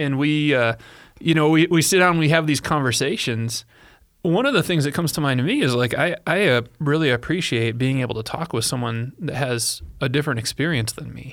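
Here a man talks at a fairly quick pace. His pitch is fairly high, with ordinary pitch variation. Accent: American. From US Midwest, Illinois. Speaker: podcast host. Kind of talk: casual chat.

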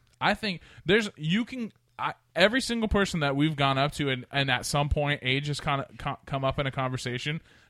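In a very clean recording with a silent background, a man with an American accent speaks quickly at a fairly high pitch, his tone animated, bright and sharp. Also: lively intonation, dry, close sound with no echo. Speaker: podcast host. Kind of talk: casual chat. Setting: studio.

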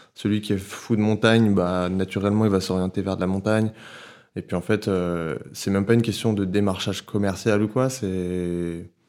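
Here is a man with an ordinary speaking voice, fairly low in pitch and fairly even in intonation. He talks at a moderate pace on a very clean recording with a silent background. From Paris, France. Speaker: photographer and filmmaker. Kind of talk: casual chat. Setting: at the guest's home.

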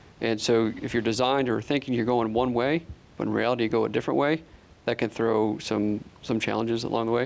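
A man's plain, everyday voice, medium in pitch, with ordinary pitch variation and a fairly quick pace. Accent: American. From upstate New York. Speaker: army officer. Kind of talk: interview.

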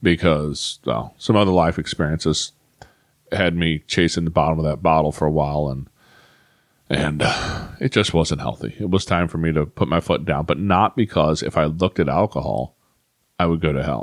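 Speaking at a moderate pace, a man with a very deep, low pitch and vocal fry uses ordinary pitch variation. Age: 40s. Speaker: podcast host. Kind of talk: personal monologue. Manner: halting.

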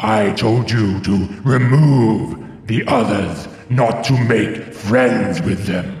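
A booming, put-on character voice from a man at medium pitch, very slow pace, clear echo and faint background music. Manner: scornful, displeased, commanding.

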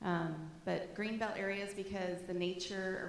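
Audible room echo follows a woman talking fairly slowly. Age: 50s. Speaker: schoolteacher giving a church talk. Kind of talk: church talk with photos. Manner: casual, conversational.

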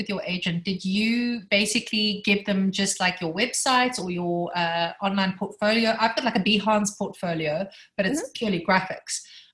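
A woman with a non-native accent at a moderate pace, medium pitch and ordinary pitch variation. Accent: foreign, noticeably non-American. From South Africa. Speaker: textile and graphic designer. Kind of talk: casual chat, asking questions.

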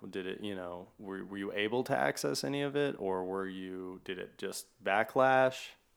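A man's fairly low-pitched voice, an ordinary speaking voice, at a moderate pace with lively intonation, over a very clean recording with a silent background. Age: 30s. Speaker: podcast host. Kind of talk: casual interview conversation. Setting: home studio in an apartment.

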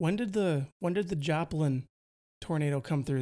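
In a very clean recording with a silent background, a man speaks at a moderate pace with a Wisconsin accent. His fairly high pitch has ordinary variation and a dark, mellow tone. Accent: Wisconsin Midwestern. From Wisconsin, US Midwest.

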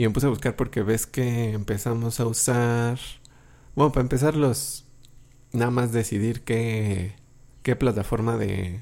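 A man with a dark, mellow tone speaks at a medium pitch and a fairly slow pace, with fairly even intonation. Long, frequent pauses break up his speech. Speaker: podcast host. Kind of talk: casual chat.

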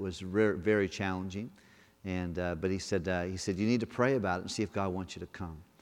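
A man speaks in a normal speaking voice. His pitch sits fairly low. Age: 50s. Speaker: guest pastor. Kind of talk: sermon. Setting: church.

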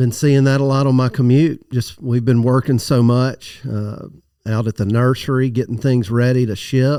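A dark, mellow tone with a Southern US accent. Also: man, medium pitch for a man, moderate pace. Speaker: tree nursery expert, guest. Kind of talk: casual interview chat. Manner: enthusiastic, nerdy.

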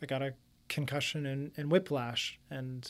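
A man with a Canadian accent has an ordinary speaking voice at a fairly high pitch and a moderate pace. The recording is very clean, with a silent background. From Windsor, Ontario, Canada. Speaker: real estate agent. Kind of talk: casual interview.

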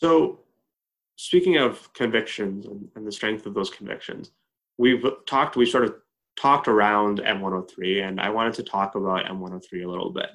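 A man with a Canadian accent, a plain, everyday voice, fairly low pitch, ordinary pitch variation and a moderate pace. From Edmonton, Canada. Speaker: co-host, organization CEO.

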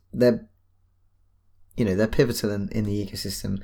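A man speaks with a British accent. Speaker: podcast co-host. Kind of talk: casual chat.

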